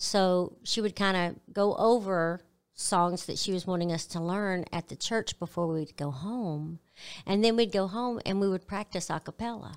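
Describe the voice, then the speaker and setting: A woman with a Southern US accent speaks at a moderate pace in a very clean recording with a silent background. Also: medium pitch for a woman, ordinary pitch variation. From Arkansas, US South. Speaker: gospel singer. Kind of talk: interview. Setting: studio.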